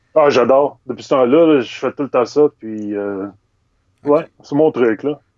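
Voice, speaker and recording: Pitch varies in an ordinary way as the speaker moves at a very slow speed. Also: man. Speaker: illustrator. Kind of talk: casual interview. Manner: hesitant, many fillers.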